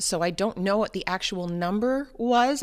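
In a plain, everyday voice, a woman speaks at a medium pitch and a moderate pace with ordinary pitch variation, on a very clean recording with a silent background. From New Hampshire, US. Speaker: mother and runner. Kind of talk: interview.

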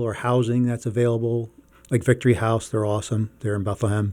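In a very clean recording with a silent background, a man talks at a fairly quick pace. He has an ordinary speaking voice of medium pitch. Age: 50s. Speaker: reentry case manager, former corrections officer. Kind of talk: interview.

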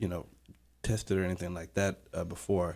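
The very clean recording, with a silent background, captures a man's very deep, low-pitched voice. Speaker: university student. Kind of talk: radio panel discussion. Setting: radio studio.

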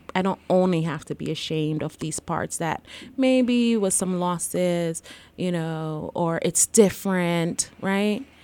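On a very clean recording with a silent background, a woman with a slight Jamaican accent speaks at a fairly slow pace in a fairly low pitch, her tone dark and mellow and her pitch variation ordinary. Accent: faint Jamaican accent in American English. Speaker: licensed counselor and therapist. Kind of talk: casual interview chat. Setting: podcast recording.

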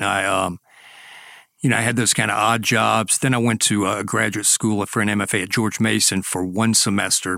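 With a South Carolina accent, a man speaks fairly quickly in a fairly low, bright, sharp tone with fairly even intonation. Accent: South Carolina Southern. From US South, Greenwood, South Carolina. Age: 60s. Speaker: author. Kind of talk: casual chat.

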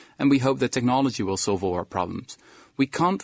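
A man with a Dutch accent talks with lively intonation. The recording is very clean and dry, close-miked with no echo and a silent background. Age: 20s. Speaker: historian and author. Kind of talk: radio interview.

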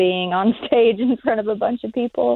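Using an ordinary speaking voice, a woman with an American accent talks at a moderate pace with ordinary pitch variation. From southwest Virginia mountains. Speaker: singer-songwriter. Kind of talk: interview. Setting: phone call.

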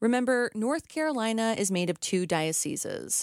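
A woman with a normal speaking voice, lively intonation and a moderate pace, in a dry, close sound with no echo. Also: very clean recording, silent background. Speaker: radio reporter. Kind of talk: news reading.

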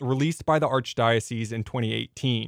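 In a very clean recording with a silent background and a dry, close sound with no echo, a man talks at a fairly quick pace in a plain, everyday voice with ordinary pitch variation. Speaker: radio reporter. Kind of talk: scripted radio news report.

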